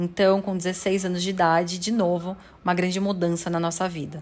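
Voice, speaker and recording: This woman's voice sits at a medium pitch. She keeps a flat, monotone intonation. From São Paulo, Brazil. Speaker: sales coach and podcast creator. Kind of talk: personal testimony monologue.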